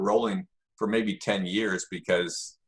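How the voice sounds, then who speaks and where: A normal speaking voice from a man, medium in pitch, with lively intonation. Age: 60s. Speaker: jiu-jitsu instructor. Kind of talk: interview.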